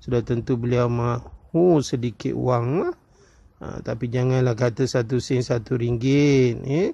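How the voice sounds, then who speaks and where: A man speaks at a fairly slow pace with a dark, mellow tone. His medium-pitched voice is somewhat breathy, with ordinary pitch variation. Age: 40s. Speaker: coin collecting YouTuber. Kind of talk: casual vlog commentary. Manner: many fillers and hesitations.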